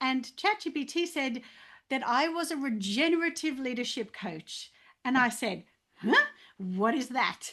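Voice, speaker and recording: A woman with an Australian accent, a raised, projected voice, high pitch, very wide pitch swings, a bright, sharp tone and a fairly slow pace over a quiet background. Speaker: leadership coach. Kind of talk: testimony. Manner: halting, many fillers.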